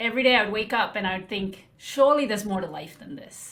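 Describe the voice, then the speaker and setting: A woman speaks at medium pitch amid noticeable background noise and audible room echo. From southern India (Tamil Nadu) until 11, then UK. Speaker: life coach. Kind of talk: podcast interview. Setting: podcast interview.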